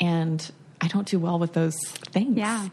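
A woman with a normal speaking voice talks at a moderate pace, her pitch fairly low with ordinary pitch variation. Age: 30s. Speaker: letterpress shop owner. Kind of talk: casual chat.

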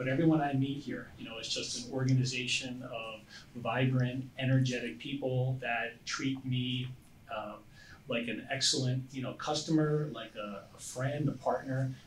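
A man's medium-pitched voice in an American accent, at a moderate pace with fairly even intonation, noticeable background noise and audible room echo. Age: 50s. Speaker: IT consultant and investor. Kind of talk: casual chat.

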